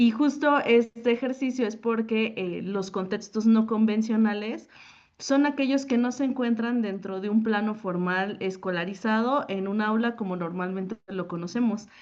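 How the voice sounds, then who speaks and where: An unremarkable speaking voice talks at a fairly slow pace with ordinary pitch variation against a quiet background. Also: woman, fairly high pitch for a woman. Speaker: teacher. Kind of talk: conference talk. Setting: panel at a forum.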